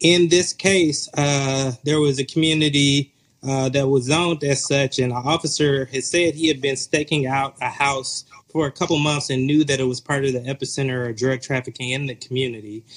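This man has an unremarkable speaking voice with a fairly high pitch. He talks at a moderate pace with fairly even intonation and hardly any pauses. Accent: American. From US South, metro Atlanta. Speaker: author and pastor. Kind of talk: interview.

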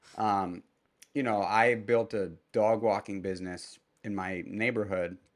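Against a quiet background, a man with a plain, everyday voice speaks fairly slowly at a fairly low pitch with fairly even intonation. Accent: American. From New York City, Manhattan. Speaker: restaurateur and entrepreneur. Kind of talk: casual interview conversation.

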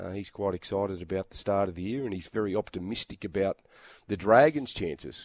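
A man with an Australian accent speaks at a fairly quick pace in a fairly low pitch. The recording is very clean with a silent background and a dry, close sound with no echo. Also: ordinary pitch variation. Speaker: rugby league commentator. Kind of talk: casual chat.

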